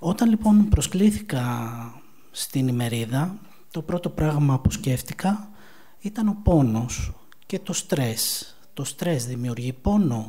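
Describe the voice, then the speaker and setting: A man speaks at a very slow pace with very wide pitch swings. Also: fairly high pitch for a man. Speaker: mental health counselor. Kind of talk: conference talk. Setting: conference event.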